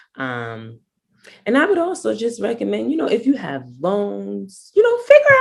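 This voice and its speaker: At a moderate pace, the words come in an American accent. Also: woman. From Harlem, New York. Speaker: actress and spoken word poet. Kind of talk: interview answer. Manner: casual, conversational.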